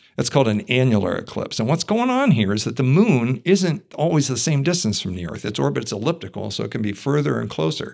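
A man with an American accent talks at a very fast pace with hardly any pauses, using a medium pitch, very wide pitch swings and vocal fry. The recording is very clean, with a silent background. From Ohio, US. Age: 60s. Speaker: physics and astronomy professor. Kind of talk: casual interview. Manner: hesitant with many fillers.

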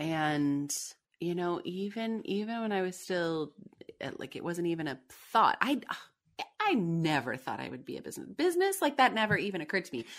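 A woman at a medium pitch talks at a moderate pace, her pitch swinging very widely and her loudness rising and falling a great deal. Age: 40s. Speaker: vocal coach and former speech pathologist. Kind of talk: interview. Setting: remote call.

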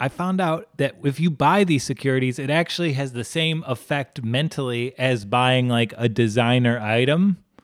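In a normal speaking voice, a man with a medium pitch and ordinary pitch variation talks at a moderate pace with hardly any pauses. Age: 30s. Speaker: podcast co-host. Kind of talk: casual chat. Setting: video call.

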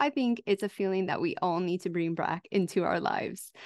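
A woman with an American accent and a plain, everyday voice speaks at a moderate pace with ordinary pitch variation, in a dry, close sound with no echo. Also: quiet background. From USA. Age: 40s. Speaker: podcast host. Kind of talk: interview conversation; scripted outro.

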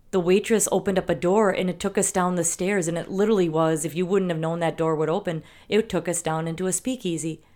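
Against a silent background in a very clean recording, a woman with a Wisconsin accent and a dark, mellow tone speaks at a very fast pace with fairly even intonation and hardly any pauses. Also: fairly low pitch for a woman. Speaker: podcast co-host. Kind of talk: casual chat.

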